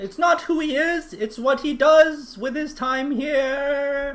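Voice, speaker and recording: In a put-on character voice, a man pitches himself extremely high. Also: fairly slow pace. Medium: actual play. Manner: indignant, shouting.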